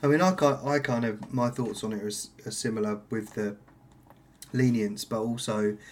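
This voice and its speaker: A man speaks at a moderate pace with medium pitch and ordinary pitch variation. It is an ordinary speaking voice. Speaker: podcast host. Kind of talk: casual interview chat.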